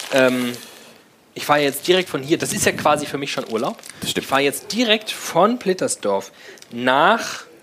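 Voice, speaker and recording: A man's fairly high voice with very wide pitch swings, a fairly slow pace and long, frequent pauses, over noticeable background noise. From Frankfurt. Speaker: podcast host. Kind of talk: live show banter. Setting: stage with audience.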